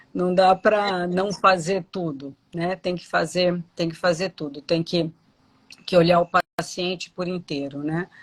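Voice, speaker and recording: An ordinary speaking voice talks at a fairly slow pace on a very clean recording with a silent background. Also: woman. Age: 60s. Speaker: dentist. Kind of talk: live interview.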